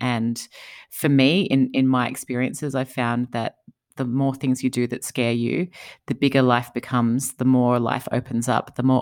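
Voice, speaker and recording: With an Australian accent, a woman speaks at a moderate pace in a very deep, low pitch and a monotone, flat intonation, captured in a very clean recording with a silent background. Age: 40s. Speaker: entrepreneur and author. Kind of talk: interview conversation.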